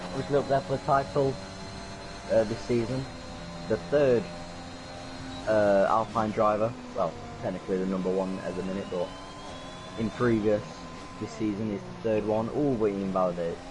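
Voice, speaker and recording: A quiet man with a fairly low pitch, moderate pace and ordinary pitch variation, long frequent pauses, and noticeable background noise. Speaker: sim racing commentator. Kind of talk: live commentary. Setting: online voice party. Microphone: too quiet on stream.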